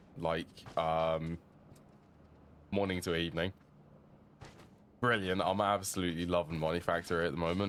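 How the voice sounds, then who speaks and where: A man with a British accent, very deep and low in pitch, at a moderate pace with long, frequent pauses, very even loudness and fairly even intonation. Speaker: video game streamer. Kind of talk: gameplay commentary. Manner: casual, thinking aloud.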